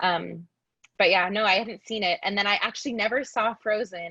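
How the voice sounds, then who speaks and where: At a moderate pace, a woman talks with an American accent, her sound dry and close with no echo. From US Pacific Northwest, near Seattle. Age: 20s. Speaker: musical theatre actress. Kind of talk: casual interview chat. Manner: hesitant, many fillers and restarts.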